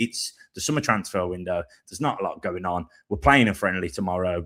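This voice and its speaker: With lively intonation, a man speaks in a very deep, low pitch and a bright, sharp tone. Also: fairly quick pace, very clean recording, silent background. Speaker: football podcast host. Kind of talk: casual chat. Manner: relaxed; animated.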